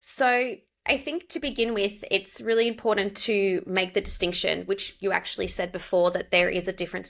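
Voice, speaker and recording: A woman in an Australian accent, medium pitch with ordinary pitch variation, a moderate pace, on a very clean recording with a silent background. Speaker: pronunciation coach. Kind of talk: interview conversation.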